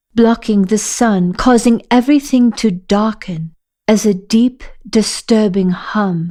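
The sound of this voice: Ordinary pitch variation runs through an unforced reading voice. The background is quiet.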